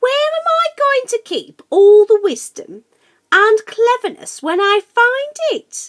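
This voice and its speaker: A woman does a squeaky, put-on character voice at an extremely high pitch. She speaks at a fairly slow pace. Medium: read story.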